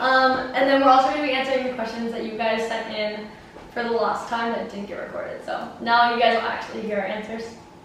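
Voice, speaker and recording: Against noticeable background noise and audible room echo, a woman with a fairly high voice rattles along very fast in a monotone, flat intonation. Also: big swings in loudness. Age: 20s. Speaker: YouTube vlogger. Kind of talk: casual chat. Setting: home kitchen. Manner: loud.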